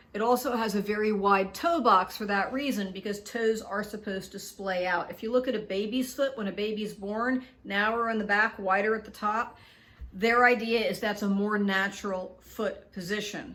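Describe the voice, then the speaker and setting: A woman speaks at a moderate pace with a fairly high pitch, a bright, sharp tone, and fairly even intonation. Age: 60s. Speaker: product reviewer, video blogger. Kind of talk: product review video. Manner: casual, conversational with fillers.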